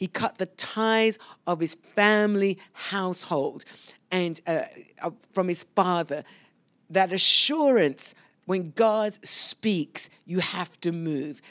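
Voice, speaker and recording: A woman speaks at a very slow pace in a medium-pitched voice with ordinary pitch variation. The recording is very clean, with a silent background and a dry, close sound with no echo. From London, England. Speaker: pastor. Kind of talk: sermon. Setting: church service streamed live.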